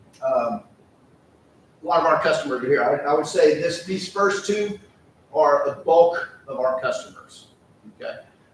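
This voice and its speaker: With noticeable background noise behind him, a man speaks with long, frequent pauses. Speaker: company presenter. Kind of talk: business presentation. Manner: fast.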